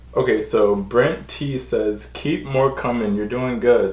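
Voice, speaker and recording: With an American accent, a man speaks at a fairly slow pace, and audible room echo surrounds his voice. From New York. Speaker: YouTuber. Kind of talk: casual Q&A vlog. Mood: relaxed, friendly.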